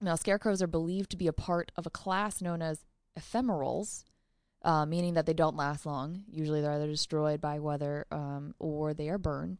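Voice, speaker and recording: Against a quiet background, a woman with an unremarkable speaking voice and an American accent talks fairly quickly at a fairly low pitch with ordinary pitch variation. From US suburb. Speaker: podcast co-host. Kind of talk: reading aloud; casual chat.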